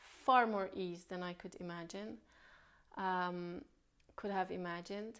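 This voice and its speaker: A woman with a non-native accent speaks at a very slow pace. Her intonation stays fairly even. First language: not English. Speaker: spiritual healer. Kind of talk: spiritual talk.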